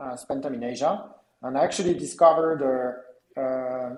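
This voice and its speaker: This speaker talks with a French accent at a moderate pace. Pitch variation is ordinary. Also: man. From France. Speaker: entrepreneur, company co-founder. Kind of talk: interview. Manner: halting, many fillers.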